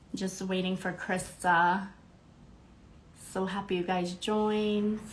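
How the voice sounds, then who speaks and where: A woman speaks at a very slow pace with monotone, flat intonation. Audible room echo surrounds her voice. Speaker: spirituality podcast host. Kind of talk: casual livestream chat.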